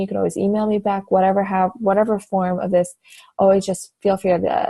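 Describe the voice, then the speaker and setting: In an American accent, the speaker has a somewhat breathy, dark, mellow tone and keeps a moderate pace. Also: woman. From Iowa, US Midwest. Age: 20s. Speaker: fitness coach. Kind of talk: personal introduction vlog. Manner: casual, hesitant with fillers.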